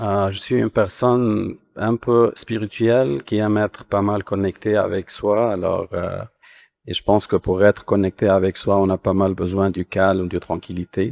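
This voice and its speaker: A man's plain, everyday voice at a fairly slow pace, with fairly even intonation, dry and close with no echo, in a very clean recording over a silent background. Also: fairly low pitch for a man. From Lebanon. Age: 40s. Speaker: immigrant panelist. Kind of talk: panel discussion.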